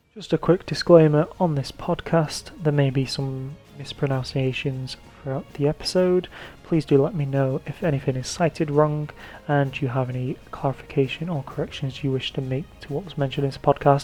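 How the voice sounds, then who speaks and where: An English accent at a moderate pace, over noticeable background noise. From England. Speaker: history podcaster. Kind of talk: scripted narration. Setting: podcast recording. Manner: halting.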